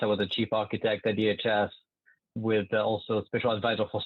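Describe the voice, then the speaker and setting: This is a man speaking with a French accent. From France. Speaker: government software executive. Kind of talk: podcast interview. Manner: hesitant with fillers.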